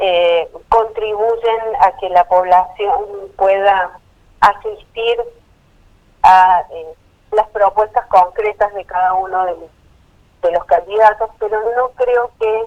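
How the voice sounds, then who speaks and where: A woman talks at a very slow pace with long, frequent pauses. Her loudness swings widely, while her intonation stays fairly even. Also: medium pitch for a woman. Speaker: polling consultancy director. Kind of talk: interview.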